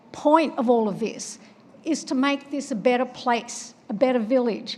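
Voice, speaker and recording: Against noticeable background noise, a woman with an Australian accent speaks with a high pitch and ordinary pitch variation. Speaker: public commenter, former road safety researcher. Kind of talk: public comment at town meeting.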